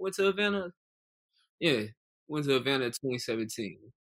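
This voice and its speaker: A man's bright, sharp voice with lively intonation. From Charlotte, North Carolina. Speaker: podcast co-host. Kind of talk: casual chat.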